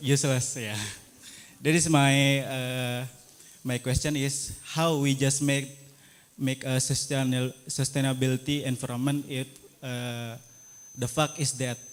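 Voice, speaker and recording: A man with an Indonesian accent speaks at a fairly slow pace and medium pitch, his intonation flat and monotone, leaving long, frequent pauses. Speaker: audience member asking question. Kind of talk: audience question. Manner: halting.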